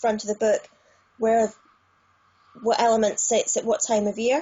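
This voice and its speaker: Speaking with a British accent, a woman has a fairly high pitch and a somewhat breathy sound. Her pace is moderate. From United Kingdom. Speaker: tarot reader. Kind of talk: interview answer.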